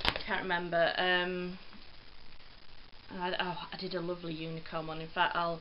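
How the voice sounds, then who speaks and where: A woman's fairly low voice carries audible room echo along with noticeable background noise. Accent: English. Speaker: cross stitch vlogger. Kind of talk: casual chat. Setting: filmed at home on phone. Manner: rambling, hesitant with ums.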